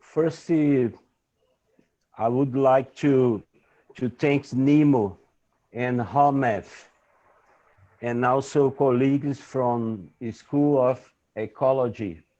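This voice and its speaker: Very slowly and with long, frequent pauses, a man with a Brazilian Portuguese accent speaks in a dark, mellow tone at a medium pitch with fairly even intonation. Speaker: environmental activist. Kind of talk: conference talk. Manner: halting.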